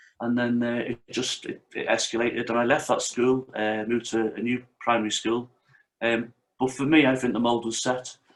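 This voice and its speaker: A man with a Liverpool accent. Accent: Liverpool (Scouse) English. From North Wales, Merseyside-born family. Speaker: martial arts instructor and author. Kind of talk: interview.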